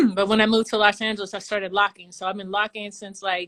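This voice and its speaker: A woman speaks at a fairly high pitch. Her tone is bright and sharp. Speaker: street dancer. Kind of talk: casual interview.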